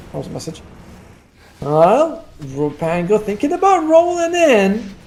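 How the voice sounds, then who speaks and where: Noticeable background noise sits behind a man speaking at a fairly slow pace. His high-pitched voice swings very widely in pitch. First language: not English. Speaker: esports caster. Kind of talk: live commentary. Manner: casual, chatty with asides.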